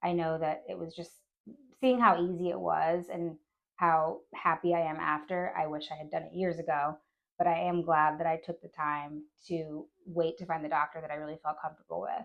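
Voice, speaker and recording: A woman with a plain, everyday voice, fairly low in pitch, at a moderate pace with fairly even intonation. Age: 30s. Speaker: plastic surgery patient. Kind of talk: patient testimonial. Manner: casual, happy.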